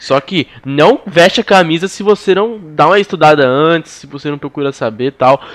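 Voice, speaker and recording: A man with a normal speaking voice and a fairly high pitch talks with lively intonation in a dry, close sound with no echo. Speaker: podcast host. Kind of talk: casual chat.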